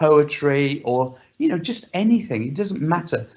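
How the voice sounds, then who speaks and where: An unremarkable speaking voice from a man, fairly high in pitch, with lively intonation at a moderate pace. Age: 60s. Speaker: panelist. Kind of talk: panel discussion.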